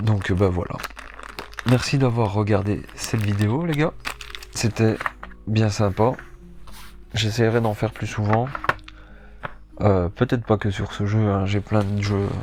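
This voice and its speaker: A man's fairly low voice at a very slow pace, with long, frequent pauses, ordinary pitch variation, and noticeable background noise. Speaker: board game youtuber. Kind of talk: casual game presentation. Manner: hesitant, many fillers.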